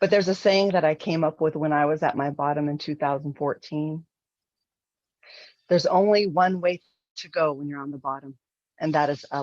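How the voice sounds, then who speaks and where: Very deep and low, a woman's voice with an American accent moves at a fairly quick pace between long, frequent pauses, its intonation fairly even but its loudness swinging widely. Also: quiet background. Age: 50s. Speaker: life coach and motivational speaker. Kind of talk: motivational speech.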